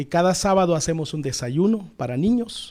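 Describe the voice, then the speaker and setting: In an Oaxacan accent, a man speaks at a moderate pace in a dark, mellow tone with ordinary pitch variation, captured in a very clean recording with a silent background. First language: Zapotec (speaking Spanish). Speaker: pastor. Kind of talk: interview.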